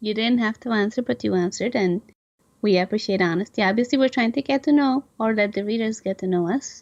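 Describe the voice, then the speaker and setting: A woman at a very fast pace with ordinary pitch variation, dry, close sound with no echo, and a quiet background. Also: fairly high pitch for a woman. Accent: non-native. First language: not English. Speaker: podcast co-host, novelist. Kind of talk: casual interview chat.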